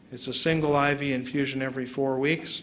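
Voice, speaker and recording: Someone speaks with an American accent against noticeable background noise. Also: man. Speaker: neurologist, visiting lecturer. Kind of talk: academic lecture. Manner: conversational, explanatory.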